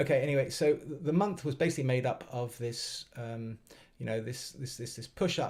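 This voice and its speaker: Ordinary pitch variation in a somewhat breathy voice. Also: man, medium pitch for a man, moderate pace. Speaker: trading educator streaming live. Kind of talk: live trading stream commentary. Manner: halting, many fillers and repetitions.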